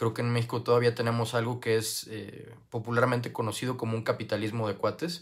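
Over a quiet background, a man with a medium pitch talks at a very fast pace with hardly any pauses, his intonation monotone and flat. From Mexico, Guadalajara, Jalisco. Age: 20s. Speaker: youth parliament applicant. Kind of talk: application video monologue. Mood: earnest, calm. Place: home room. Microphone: earbuds.

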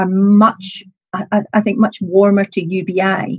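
Speaking at a very slow pace, a woman with a Scottish accent has a medium-pitched, somewhat breathy voice. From Scotland, Scottish Borders (Kelso). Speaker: political activist and policy researcher. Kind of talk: interview on a live talk show. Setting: video call.

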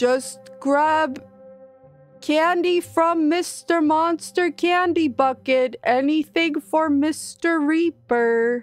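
A woman speaks in a put-on character voice with a high pitch at a very slow pace. Faint music plays in the background. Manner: goofy, simple.

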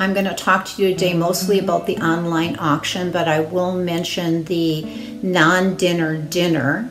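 A woman speaking at a fairly slow pace over clear music in the background. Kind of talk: announcement to congregation. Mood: upbeat, encouraging. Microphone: phone near.

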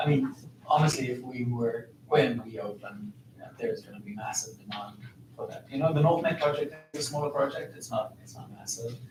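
Audible room echo surrounds a man talking at a fairly quick pace with big swings in loudness. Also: medium pitch for a man, ordinary pitch variation. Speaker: mining company community representative. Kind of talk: council meeting presentation. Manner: fast.

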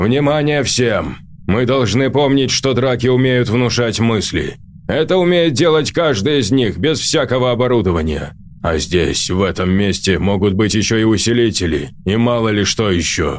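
A man speaks at a medium pitch and a moderate pace. Clear background noise can be heard. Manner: authoritative, urgent.

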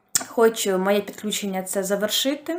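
A woman at medium pitch. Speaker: toy knitter. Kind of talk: casual talk to camera.

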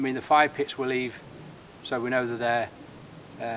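Over light background noise, a man talks at a very fast pace in a monotone, flat delivery. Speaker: bushcraft vlogger. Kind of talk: casual vlog chat. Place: forest.

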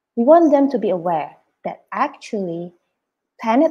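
A woman speaks with a dark, mellow tone and very wide swings in pitch. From Indonesia. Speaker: preschool principal; webinar presenter, early years educator. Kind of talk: presentation. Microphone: video call.

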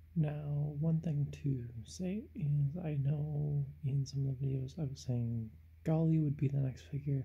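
Speaking at a fairly slow rate, the voice is soft-spoken. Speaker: toy figure reviewer; toy reviewer. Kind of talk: product review. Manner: hesitant, many fillers. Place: home room. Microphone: phone near.

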